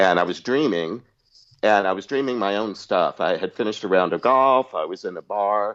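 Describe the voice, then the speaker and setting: A man with a fairly low pitch and ordinary pitch variation, in a dry, close sound with no echo against a quiet background. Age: 60s. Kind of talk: interview, personal story. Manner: halting.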